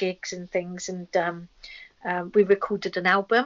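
At a moderate pace, a woman speaks with an English accent and a medium pitch. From England. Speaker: rock singer and comics artist. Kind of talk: casual chat.

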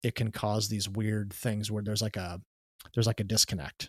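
A somewhat breathy man with a fairly low pitch at a fairly quick pace, recorded dry and close with no echo, very clean, with a silent background. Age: 40s. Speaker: photography podcast host. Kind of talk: casual interview. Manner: halting, many fillers.

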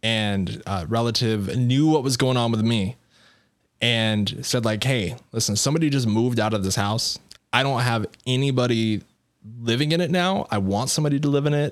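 A man's normal speaking voice with an American accent, medium pitch, ordinary pitch variation and a moderate pace. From Colorado. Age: 20s. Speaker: entrepreneur. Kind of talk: casual chat.

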